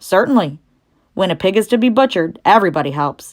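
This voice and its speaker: A put-on character voice that sounds female rattles along at a very fast pace at a medium pitch, on a very clean recording with a silent background. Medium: read story. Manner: blunt, snappish.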